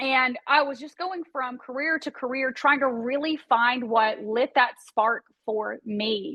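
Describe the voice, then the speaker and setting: At a fairly slow pace and with hardly any pauses, a woman speaks in a high pitch with ordinary pitch variation. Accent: Tennessee. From East Tennessee. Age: 40s. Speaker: real estate broker and entrepreneur. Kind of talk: interview conversation.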